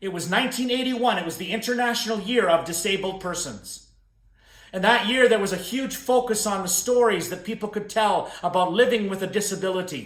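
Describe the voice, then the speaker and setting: Animated in tone, a man speaks fairly quickly in a high pitch with ordinary pitch variation. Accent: western Canadian. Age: 60s. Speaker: motivational speaker. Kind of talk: keynote talk to camera. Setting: recorded video.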